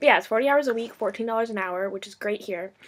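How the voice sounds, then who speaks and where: A woman speaks at a very fast pace. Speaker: vlogger. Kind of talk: casual chat.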